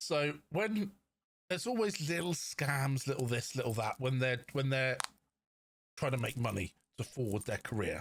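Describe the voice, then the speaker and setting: A man's somewhat breathy voice at a moderate pace, lively in intonation and very even in loudness, with long, frequent pauses. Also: medium pitch for a man. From London. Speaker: podcast co-host. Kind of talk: casual chat.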